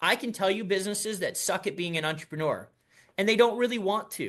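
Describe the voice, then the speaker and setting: A man talks at a very fast pace in a raised, projected voice with a bright, sharp tone. His pitch varies in an ordinary way, and the background is quiet. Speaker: business advisor and entrepreneur. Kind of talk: business presentation.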